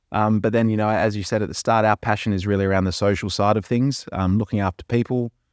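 Spoken at a very fast pace in an Australian accent, the fairly even intonation sits in a dry, close sound with no echo and a quiet background. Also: man. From Perth, Western Australia. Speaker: managing director of a sustainability consultancy, former professional cricketer. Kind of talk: casual interview. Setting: studio. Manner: hesitant, many fillers; passionate.

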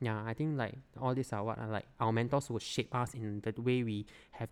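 With a Singaporean accent, a man talks at a fairly quick pace in a medium pitch and a monotone, flat intonation, on a very clean recording with a silent background. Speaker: product designer. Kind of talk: casual chat.

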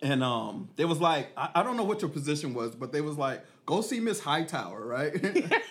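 A man's fairly high voice at a moderate pace, with very wide pitch swings, hardly any pauses, an American accent and noticeable background noise. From Killeen, Texas. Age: 40s. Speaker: podcast host, life coach. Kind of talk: casual podcast conversation. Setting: on location in hometown.

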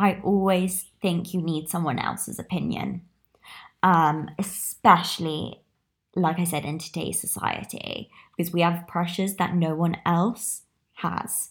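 In a very clean recording with a silent background, a woman with a British accent speaks at a very slow pace in a fairly low pitch with vocal fry. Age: 20s. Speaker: podcaster. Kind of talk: casual solo monologue. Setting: small room.

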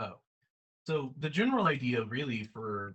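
A man speaks in a plain, everyday voice at a fairly slow pace. His pitch variation is ordinary. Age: 20s. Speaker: podcast co-host and role-player. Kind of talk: casual chat.

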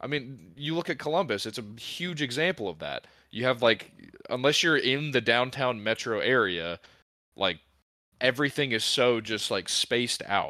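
Here a man with an American accent speaks at a medium pitch and a moderate pace. His tone is bright and sharp, and his intonation is lively. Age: 20s. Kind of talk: casual chat.

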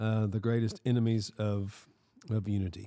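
A man with a Southern US accent talks at a moderate pace in a fairly low, dark, mellow voice, with a dry, close sound and no echo. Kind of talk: casual chat and Bible discussion. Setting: recording in a shop with small audience.

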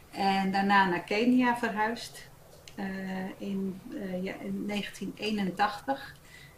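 Noticeable background noise runs under a woman speaking at a very slow pace. Her pitch is medium, with ordinary pitch variation. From Netherlands, Gouda and Hilversum. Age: 50s. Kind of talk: casual chat.

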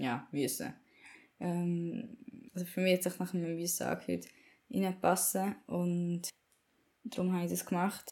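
A woman talks at a very slow pace. Her voice is fairly low in pitch, with a dark, mellow tone. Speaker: podcaster. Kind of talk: personal monologue. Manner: casual, rambling.

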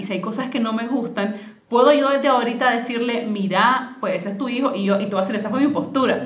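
Amid audible room echo and noticeable background noise, a woman talks at a fairly quick pace and a fairly high pitch with ordinary pitch variation. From Nicaragua, Managua. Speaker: financial educator. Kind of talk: casual interview conversation.

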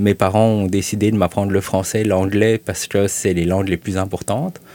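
The man's voice is very deep and low. He talks at a fairly quick pace in a monotone, flat intonation. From Belgium, raised in Quebec from childhood. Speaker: journalist. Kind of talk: casual interview.

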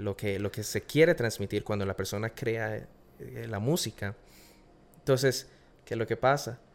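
On a very clean recording with a silent background, a man with vocal fry uses ordinary pitch variation and long, frequent pauses. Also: fairly low pitch for a man, fairly slow pace. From Costa Rica. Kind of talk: casual interview chat. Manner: hesitant, repeats words.

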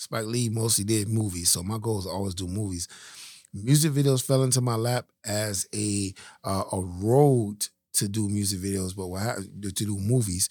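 With an American accent and an ordinary speaking voice, a man talks at a moderate pace in a fairly low pitch with ordinary pitch variation, in a very clean recording with a silent background. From Miami, Florida (West Perrine). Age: 40s. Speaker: film and music video director. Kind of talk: interview testimony.

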